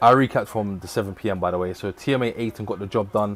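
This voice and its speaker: A man talks with fairly even intonation. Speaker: boxing watchalong streamer. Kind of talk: live stream commentary and recap. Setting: live stream. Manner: stumbling at times.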